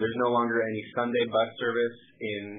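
A man is speaking. Light background noise is present. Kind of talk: call-in answer on policy. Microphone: phone line.

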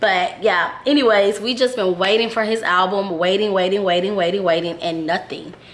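Noticeable background noise sits behind a woman with an American accent. She talks at a moderate pace and a medium pitch with ordinary pitch variation. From Houston, Texas. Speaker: music reviewer / YouTuber. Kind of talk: casual video review.

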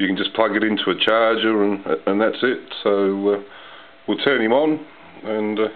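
A man's fairly low voice with fairly even intonation at a moderate pace

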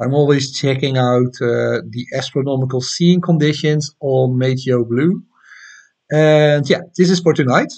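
A man speaks at a fairly slow pace with a Dutch accent, his pitch varying in an ordinary way. He leaves long, frequent pauses against a quiet background. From Netherlands. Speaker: amateur astronomy YouTuber. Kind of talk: live stream chat and tutorial. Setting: home live stream at night. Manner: casual, hesitant with many fillers. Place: home room. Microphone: webcam.

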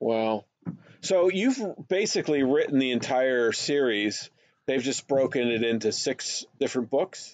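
A man with an unremarkable speaking voice at medium pitch speaks at a fairly slow pace, his loudness very even and his intonation lively. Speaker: podcast host and animation director. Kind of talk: casual interview.

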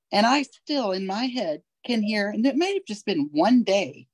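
A woman speaks at a moderate pace and medium pitch, her voice making big pitch swings. The sound is dry and close, with no echo.

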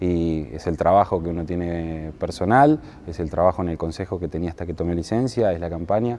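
This man's voice is very deep and low with a dark, mellow tone, moving at a fairly quick pace over light background noise. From Buenos Aires province, Argentina. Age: 30s. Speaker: mayoral candidate; candidate. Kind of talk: interview. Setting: indoor basketball stadium. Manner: halting, frequent repetitions. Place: gym. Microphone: lapel.

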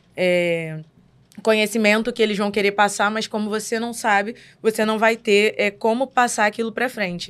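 At a moderate pace, a woman with a fairly high pitch speaks with fairly even intonation. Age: 20s. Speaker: Umbanda medium. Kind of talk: casual podcast discussion on religion. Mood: relaxed, reflective. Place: studio. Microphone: studio mic.

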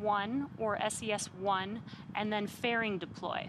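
A woman speaks in an upbeat, enthusiastic tone at a fairly high pitch. Noticeable background noise runs underneath. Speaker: space launch webcast host. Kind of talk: live launch commentary, explaining the countdown on screen in technical detail. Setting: company launch webcast. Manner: clear, steady and explanatory, with an upbeat, enthusiastic tone; slightly halting, with occasional filler words and self-corrections.

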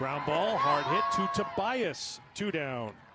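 A man speaks with lively intonation. Music can be heard in the background. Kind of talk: live commentary.

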